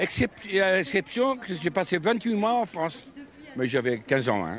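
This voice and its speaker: Over noticeable background noise, a man's high voice makes very wide pitch swings at a moderate pace. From Ebro delta, Catalonia, Spain. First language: Catalan or Spanish (speaking French). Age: 70s. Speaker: traditional boatman and craftsman. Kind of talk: interview.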